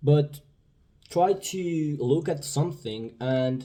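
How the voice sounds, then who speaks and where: Somewhat breathy, a man speaks with a dark, mellow tone. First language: Spanish. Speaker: vlogger. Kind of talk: casual monologue. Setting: indoors. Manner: halting.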